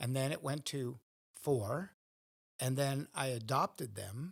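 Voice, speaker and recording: Somewhat breathy, a man with an American accent talks at a fairly slow pace, his pitch medium with ordinary variation. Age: 60s. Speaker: priest. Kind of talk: interview.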